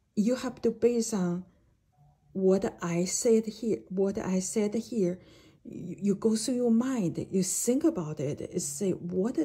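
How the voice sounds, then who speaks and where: At a very slow pace, a woman with a medium pitch and a dark, mellow tone talks with lively intonation and a somewhat breathy sound. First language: not English (English is third language). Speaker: jade expert and educator. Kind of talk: video lecture. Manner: halting, with many fillers.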